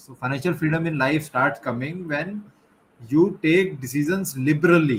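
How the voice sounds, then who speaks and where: A fairly high-pitched, somewhat breathy man at a fairly quick pace with ordinary pitch variation. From India. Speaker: life and business coach, interviewer. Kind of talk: interview. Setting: live stream. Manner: halting, many fillers.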